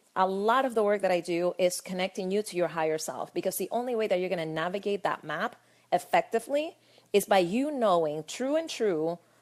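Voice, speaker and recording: A woman's animated, medium-pitched voice with a Spanish accent, lively intonation and a fairly quick pace, on a very clean recording with a silent background. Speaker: spiritual life coach. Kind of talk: casual vlog talk.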